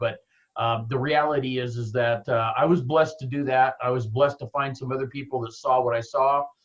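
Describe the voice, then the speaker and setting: A man's somewhat breathy, medium-pitched voice at a fairly quick pace, with fairly even intonation. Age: 60s. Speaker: network marketing distributor. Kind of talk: motivational team call talk. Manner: halting, repeats words.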